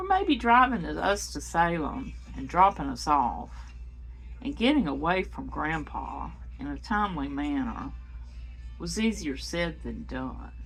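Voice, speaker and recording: Fairly slow speech from a woman, backed by music in the background. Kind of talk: personal memoir reading.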